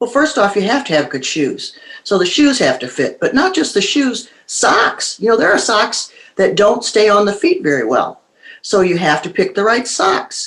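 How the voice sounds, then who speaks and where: The woman's pitch is fairly high and swings very widely. She talks at a moderate pace. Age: 60s. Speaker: author and show host. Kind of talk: interview.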